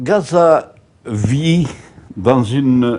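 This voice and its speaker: With noticeable background noise around him, a man speaks with lively intonation. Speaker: former parish priest of Gaza, interviewee. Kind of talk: interview answer. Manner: hesitant, repeating words.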